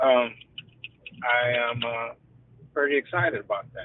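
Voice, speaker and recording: A man talks fairly slowly, his intonation fairly even and his pitch medium. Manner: monotone, shows little emotion.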